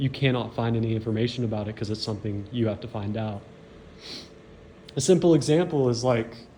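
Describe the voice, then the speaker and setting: A man talks at a very fast pace yet leaves long, frequent pauses. His medium-pitched voice has a dark, mellow tone and ordinary pitch variation. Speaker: dirt bike reseller and YouTuber. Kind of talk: tutorial. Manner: halting.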